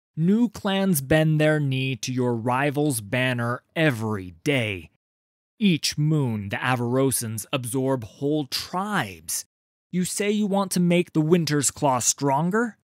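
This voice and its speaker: A put-on character voice from a man, fairly high-pitched and fairly slow, on a very clean recording with a silent background. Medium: read story. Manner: grave, blunt.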